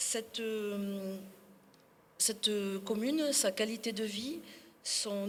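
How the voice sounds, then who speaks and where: Over noticeable background noise, a woman speaks at a very slow pace and medium pitch, with ordinary pitch variation. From Sarlat, Dordogne, France. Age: 60s. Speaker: municipal election candidate. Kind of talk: public speech.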